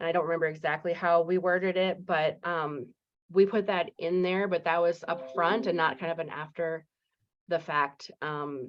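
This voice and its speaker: Her fairly low pitch and fairly even intonation come at a moderate pace as the woman speaks. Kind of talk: listening session discussion. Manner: halting, many fillers.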